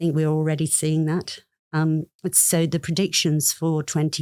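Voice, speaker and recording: Dry and close with no echo, a woman with a British accent speaks at a very deep, low pitch. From United Kingdom. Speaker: plant scientist. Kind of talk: podcast interview.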